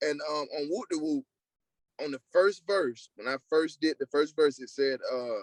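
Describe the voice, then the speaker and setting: A man with an American accent, fairly high pitch, ordinary pitch variation and a fairly slow pace, in a dry, close sound with no echo. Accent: country twang. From US South, South Carolina. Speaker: singer. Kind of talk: interview.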